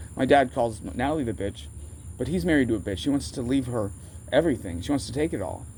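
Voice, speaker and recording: A man with an American accent talks at a very fast pace with very wide pitch swings. His tone is dark and mellow, with vocal fry. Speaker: vlogger. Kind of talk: casual rambling monologue. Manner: halting, self-interrupting.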